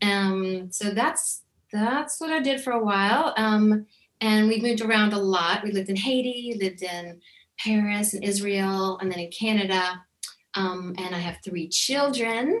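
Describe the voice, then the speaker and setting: This woman has a plain, everyday voice. She talks at a fairly slow pace with ordinary pitch variation. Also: medium pitch for a woman. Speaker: singer-songwriter. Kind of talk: casual interview chat.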